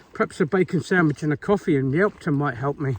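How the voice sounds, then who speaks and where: Fairly high-pitched, somewhat breathy male voice with lively intonation at a fairly quick pace. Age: 60s. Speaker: hiker vlogger. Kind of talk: walking vlog narration. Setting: outdoors. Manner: casual, conversational.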